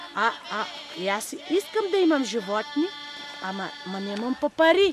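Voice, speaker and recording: Over background music, a woman speaks at a moderate pace. Her high voice swings very widely in pitch. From Breznik region, Bulgaria. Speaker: singer and songwriter. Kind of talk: casual conversation. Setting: outdoors. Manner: lively, expressive storytelling.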